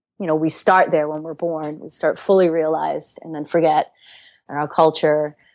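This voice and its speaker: In a very clean recording with a silent background, a woman with a slight Rhode Island accent talks at a moderate pace in a very deep, low voice, flat and monotone yet with big swings in loudness. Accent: slight Rhode Island accent, scaled down. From Alaska and Rhode Island. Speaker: yoga teacher. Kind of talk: interview. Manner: reflective, with many fillers and repeats.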